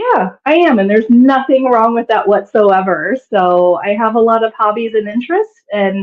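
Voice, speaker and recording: A woman's fairly high voice in a Midwestern American accent, with ordinary pitch variation and hardly any pauses. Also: moderate pace. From US Midwest, Kansas. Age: 40s. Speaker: digital nomad, former math professor. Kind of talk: interview.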